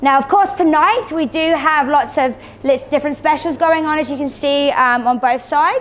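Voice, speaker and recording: A woman speaks in an enthusiastic tone. Her pitch shows ordinary variation. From England. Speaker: cosmetic treatment specialist. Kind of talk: presentation to audience. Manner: fast.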